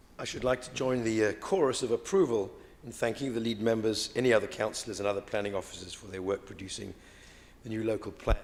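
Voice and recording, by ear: A man's hoarse, put-on character voice at medium pitch, very fast in pace, with ordinary pitch variation and big swings in loudness.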